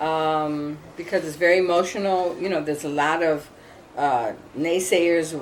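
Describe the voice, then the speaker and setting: Audible room echo surrounds a woman with an American accent who speaks at a fairly slow pace in a fairly low pitch with ordinary pitch variation. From US Midwest, Minneapolis. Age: 60s. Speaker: homeowner facing foreclosure. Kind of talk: interview.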